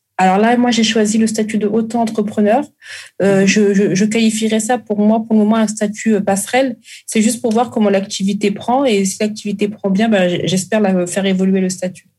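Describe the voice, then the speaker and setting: A woman's somewhat breathy voice, fairly high in pitch, with monotone, flat intonation, very even loudness and a moderate pace. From Congo-Brazzaville. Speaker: caterer and food entrepreneur. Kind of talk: interview.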